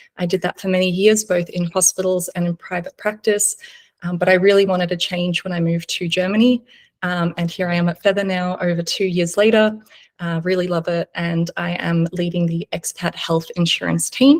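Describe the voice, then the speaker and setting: Somewhat breathy and in an Australian accent, the voice is monotone and flat at a moderate pace, with a dry, close sound and no echo. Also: woman, fairly low pitch for a woman. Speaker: insurance team lead. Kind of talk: webinar presentation. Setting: video webinar.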